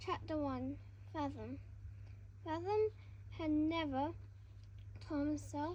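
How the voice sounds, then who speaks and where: The speaker is a woman. She moves through her words at a very slow pace. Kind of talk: casual read-aloud of a children's fantasy novel. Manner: hesitant, stumbles over words.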